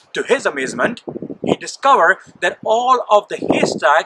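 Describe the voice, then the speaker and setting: A man speaks at a fairly slow pace against noticeable background noise. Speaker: church minister. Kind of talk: sermon storytelling. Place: forest.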